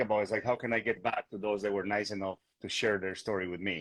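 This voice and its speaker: The man's voice sits fairly low in pitch, with monotone, flat intonation. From Bolivia. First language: Spanish. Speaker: real estate agent. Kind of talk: interview conversation. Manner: hesitant, many fillers and repetitions.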